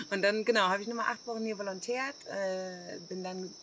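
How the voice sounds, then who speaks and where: A woman is speaking over noticeable background noise. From Germany. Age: 40s. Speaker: hostel owner. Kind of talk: casual interview. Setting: outdoors in the jungle.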